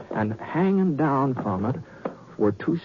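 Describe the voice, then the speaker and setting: A man with a fairly high pitch talks at a fairly slow pace, his pitch swinging very widely over noticeable background noise. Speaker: radio actor. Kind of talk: radio drama storytelling.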